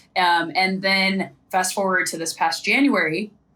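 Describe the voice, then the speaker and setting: Noticeable background noise sits behind this recording. A woman speaks in a fairly low pitch. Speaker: sideline reporter and former athlete. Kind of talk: podcast interview. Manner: fast.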